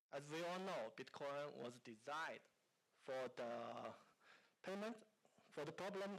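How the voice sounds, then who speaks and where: In a Chinese accent, a man speaks at a fairly high pitch and a fairly slow pace. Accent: Mandarin Chinese. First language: Mandarin. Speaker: company founder. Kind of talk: conference talk. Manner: halting.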